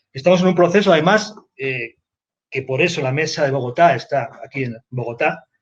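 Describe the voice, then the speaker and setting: A man with lively intonation. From Spain. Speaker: news agency editor. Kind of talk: panel discussion.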